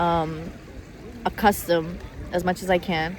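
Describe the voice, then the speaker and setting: The speaker has an American accent. Noticeable background noise runs underneath. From Italy. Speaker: vlogger. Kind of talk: emotional vlog monologue. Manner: halting, repetitive.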